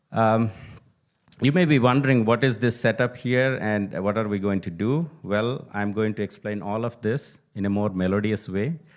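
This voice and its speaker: A man speaks with a Telugu accent at a fairly low pitch. His pace is moderate and his pitch variation ordinary. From India (Telugu-speaking). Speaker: Gita teacher and poet. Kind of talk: speech at a temple event.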